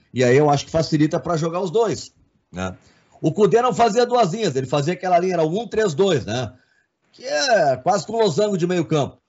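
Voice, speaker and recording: Speech goes by at a fairly quick pace. Its intonation is lively. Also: man, high pitch for a man. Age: 50s. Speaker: sports journalist and commentator. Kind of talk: casual sports debate.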